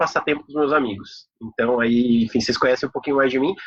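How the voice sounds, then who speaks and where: Using an unremarkable speaking voice, a man talks at a medium pitch and keeps ordinary pitch variation. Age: 30s. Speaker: corporate professional giving a talk. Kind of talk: online talk presentation. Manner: casual, many filler words.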